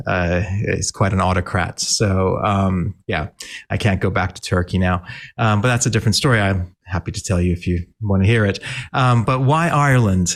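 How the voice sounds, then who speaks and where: In an American accent, a man with an ordinary speaking voice talks at a moderate pace and a fairly low pitch, his pitch moving in an ordinary way on a very clean recording with a silent background. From Malaysia. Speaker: technologist, tech foundation founder. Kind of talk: podcast interview.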